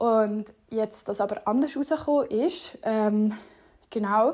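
A plain, everyday voice from a woman, fairly high in pitch, with ordinary pitch variation, on a very clean recording with a silent background. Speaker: podcast host. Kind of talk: casual monologue.

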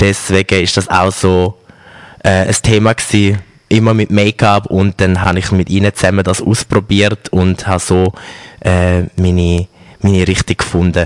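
A man speaks at a very deep, low pitch in a monotone, flat intonation and at a moderate pace. His loudness stays very even, and the sound is dry and close with no echo. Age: 20s. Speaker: make-up artist and store manager. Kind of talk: interview.

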